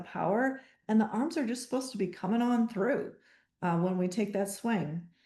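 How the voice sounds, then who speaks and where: A woman's somewhat breathy voice at a moderate pace, with ordinary pitch variation and a quiet background. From US Midwest, Wisconsin. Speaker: golf fitness coach. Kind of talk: webinar presentation. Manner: casual, with fillers.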